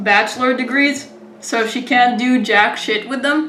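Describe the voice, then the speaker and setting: With an American accent, a woman speaks at a fairly high pitch and moderate pace with fairly even intonation, amid noticeable background noise and audible room echo. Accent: American-sounding English. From Israel. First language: Hebrew. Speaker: interviewer. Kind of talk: casual chat. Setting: video call.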